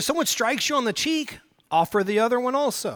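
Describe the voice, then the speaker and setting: A man's raised, projected voice with an American accent, bright and sharp in tone, very wide pitch swings, and a fairly quick pace. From US South, Oklahoma. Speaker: pastor. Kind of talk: sermon.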